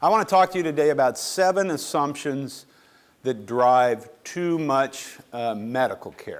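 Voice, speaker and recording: Recorded very cleanly against a silent background, a man in a normal speaking voice uses lively intonation and a fairly high pitch at a fairly slow pace. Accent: American. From western US. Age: 60s. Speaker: professor of medicine. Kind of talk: lecture.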